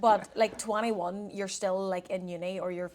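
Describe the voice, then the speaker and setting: A woman at a fairly quick pace, in a Northern Irish accent. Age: 20s. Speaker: performance dietitian and podcast co-host. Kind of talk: casual chat. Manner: animated.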